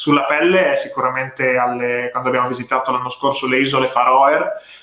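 Noticeable background noise is present throughout. A man speaks at a medium pitch. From Italy (Ravenna, Emilia-Romagna). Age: 20s. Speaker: content creator. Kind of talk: casual chat. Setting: live stream.

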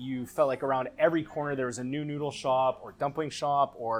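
A man with a plain, everyday voice and a Canadian accent talks at a fairly quick pace, fairly high in pitch and with fairly even intonation. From Canada, Vancouver. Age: 30s. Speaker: chef. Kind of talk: casual chat.

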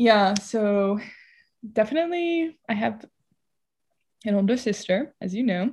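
On a very clean recording with a silent background, a woman with an American accent speaks somewhat breathily at a fairly high pitch and a fairly slow pace, her intonation lively and her pauses long and frequent. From US West Coast, San Diego. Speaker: artist. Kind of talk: casual chat.

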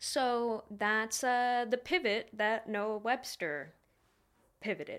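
Very slow speech with lively intonation and an American accent comes through on a very clean recording with a silent background. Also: woman, fairly high pitch for a woman. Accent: regional US dialect affecting pronunciation. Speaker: history podcast host. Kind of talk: casual chat.

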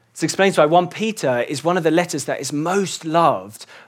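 A man with an English accent talks at a fairly quick pace. The recording is very clean, with a silent background. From England. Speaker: church elder and preacher. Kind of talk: sermon.

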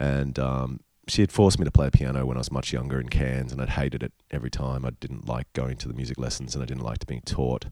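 A very fast man's voice in an Australian accent, very deep and low, with big swings in loudness and fairly even intonation. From Queensland, Australia. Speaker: rock musician. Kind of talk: casual chat. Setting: hotel room.

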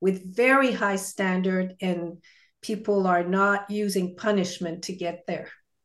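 An ordinary speaking voice moves at a fairly slow pace with fairly even intonation over a quiet background. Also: woman. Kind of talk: casual chat.

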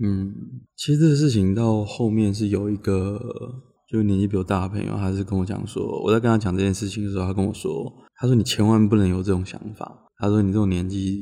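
A man with a dark, mellow tone and a fairly low pitch speaks fairly quickly, his intonation fairly even. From Taiwan, Changhua. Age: young. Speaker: podcast co-host. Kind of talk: casual chat.

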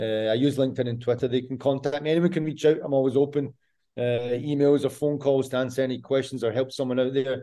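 A man's medium-pitched voice with a Scottish accent, very fast and flat, in a monotone. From Scotland. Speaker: football fitness coach. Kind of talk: interview.

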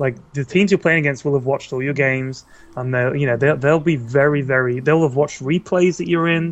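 Speaking fairly quickly with a British accent, a man uses a fairly high pitch and ordinary pitch variation against a quiet background. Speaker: video game content creator and announcer voice. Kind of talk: casual chat. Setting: online call.

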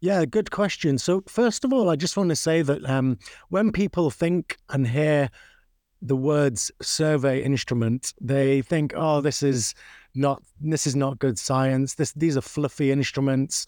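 In a Manchester accent, a man speaks fairly slowly at a fairly high pitch with ordinary pitch variation and very even loudness, on a very clean, dry, close recording with a silent background and no echo. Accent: Mancunian-tinged British English. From northern England, Manchester. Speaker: obstetric anesthesiology professor. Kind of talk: interview.

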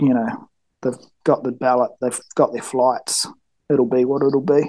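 At a fairly slow pace, a man with a New Zealand accent speaks in a dark, mellow tone, fairly high in pitch with fairly even intonation. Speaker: engineer and mountain hunter, gear maker. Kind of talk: casual interview. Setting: call.

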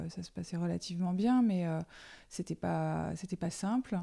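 In a very clean recording with a silent background, a woman speaks very slowly in a fairly low-pitched, dark, mellow tone. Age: 40s. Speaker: journalist and author. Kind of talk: testimony. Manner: halting.

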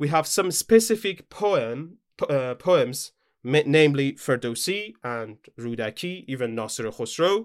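Speaking in a Persian accent, a man uses a fairly high pitch with very wide pitch swings. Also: fairly slow pace. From Iran. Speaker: academic researcher. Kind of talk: casual chat. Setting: remote call.

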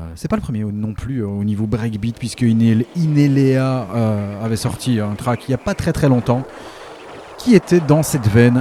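Over noticeable background noise, a man talks at a fairly slow pace. His pitch sits in the medium range. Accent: Belgian. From Belgium. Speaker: radio DJ host. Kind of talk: radio show presentation between tracks. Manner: casual, lively.

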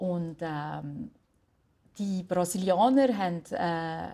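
This woman has a dark, mellow tone. Her pitch is medium, with ordinary variation. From Switzerland, Valais. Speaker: jazz singer. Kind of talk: interview. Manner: halting.

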